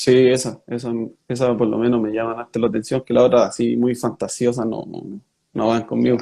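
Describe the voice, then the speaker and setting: At a fairly quick pace, a man talks in a medium pitch with a dark, mellow tone and fairly even intonation. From Chile, Rengo (O'Higgins region). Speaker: professional footballer. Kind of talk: interview.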